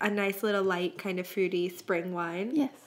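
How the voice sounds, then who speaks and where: A woman at a moderate pace with fairly even intonation. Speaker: podcast co-host. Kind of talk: casual podcast chat. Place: home room.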